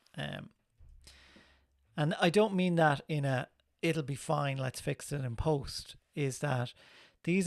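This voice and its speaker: In a very clean recording with a silent background, a man talks in a fairly high pitch. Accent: Irish. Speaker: film composer and live stream host. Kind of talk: tutorial. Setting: live stream. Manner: casual, relaxed.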